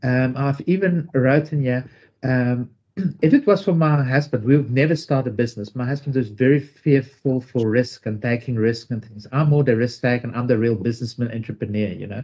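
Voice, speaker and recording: Talking at a fairly quick pace with a South African accent, this man has a medium pitch and ordinary pitch variation. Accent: South African accent when speaking Dutch. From South Africa, Zululand. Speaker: author and entrepreneur. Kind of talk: interview. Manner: halting, many fillers.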